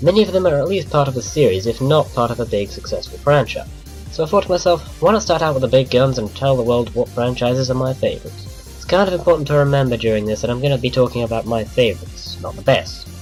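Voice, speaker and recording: Over music in the background, a man with a British accent talks at a very fast pace, his medium-pitched voice making very wide pitch swings. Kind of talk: casual game countdown commentary.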